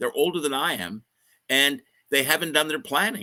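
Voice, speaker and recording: This man's voice sits fairly high and has a bright, sharp tone with vocal fry. The sound is dry and close, with no echo. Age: 60s. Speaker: mergers and acquisitions advisor. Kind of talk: livestream interview. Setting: live online stream.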